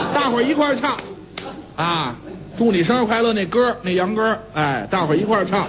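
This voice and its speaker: A man against light background noise. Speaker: pingshu storyteller; storyteller. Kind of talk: humorous xiangsheng-style monologue, casual talk. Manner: soft, murmuring, soothing. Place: studio.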